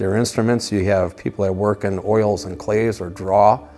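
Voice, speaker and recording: Over music in the background, a man talks at a moderate pace in a fairly low pitch with fairly even intonation. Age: 60s. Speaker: copper artist, retired firefighter. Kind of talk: interview monologue. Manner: reflective, casual.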